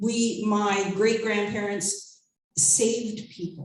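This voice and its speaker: A woman of medium pitch, somewhat breathy, with audible room echo. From Nova Scotia, Canada. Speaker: concert emcee. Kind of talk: live stage hosting. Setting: stage with audience.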